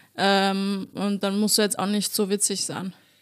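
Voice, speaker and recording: A woman's fairly high voice at a moderate pace, on a very clean recording with a silent background. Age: 30s. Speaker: stand-up comedian. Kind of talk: casual chat.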